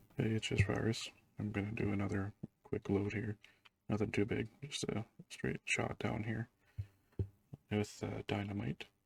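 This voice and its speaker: At a moderate pace, a quiet man with a fairly low pitch and vocal fry speaks with fairly even intonation and long, frequent pauses, the sound dry and close with no echo. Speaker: gaming YouTuber, truck driver. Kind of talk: gameplay commentary. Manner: quiet, hushed.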